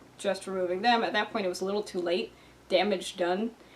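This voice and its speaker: Mumbling in a monotone, flat intonation, a woman speaks at a medium pitch. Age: 30s. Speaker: video creator. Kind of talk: personal talk to camera. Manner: casual.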